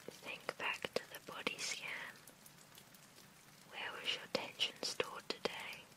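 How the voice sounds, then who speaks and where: A woman whispers at a very slow pace, with long, frequent pauses and noticeable background noise. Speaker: ASMR meditation guide. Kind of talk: sleep meditation guided relaxation. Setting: studio, gentle rain in background. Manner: whispered, soft-spoken, slow.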